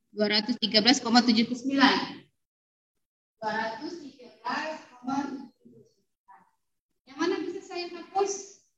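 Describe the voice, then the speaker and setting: A high-pitched woman speaks at a fairly slow pace with lively intonation, big swings in loudness and long, frequent pauses. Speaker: university lecturer. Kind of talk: lecture.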